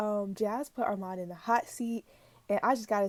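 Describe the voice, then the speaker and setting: A woman speaks quietly at a fairly quick pace, her pitch fairly high and her tone dark and mellow. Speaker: YouTube reaction vlogger. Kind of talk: casual vlog commentary. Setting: bedroom at home.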